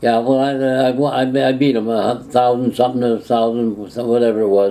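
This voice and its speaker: Speaking at a fairly quick pace and medium pitch, a man keeps a monotone, flat intonation, very even loudness, and a dark, mellow tone. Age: 80s+. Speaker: former mayor. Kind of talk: interview answer. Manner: storytelling, conversational.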